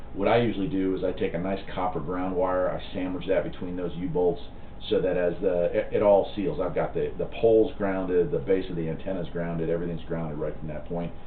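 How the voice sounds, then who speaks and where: A man's very deep, low voice at a fairly quick pace, with ordinary pitch variation and audible room echo. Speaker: CB radio hobbyist and channel host. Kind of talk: live stream chat reading viewer comments. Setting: live stream from home. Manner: casual, halting with fillers.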